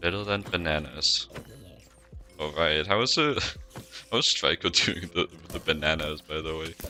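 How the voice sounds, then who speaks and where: Music plays in the background as a man with a very deep, low pitch speaks with long, frequent pauses. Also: ordinary pitch variation, moderate pace. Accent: non-native. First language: not English. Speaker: video game streamer. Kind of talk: casual gameplay live stream commentary. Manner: hesitant, many fillers and repetitions.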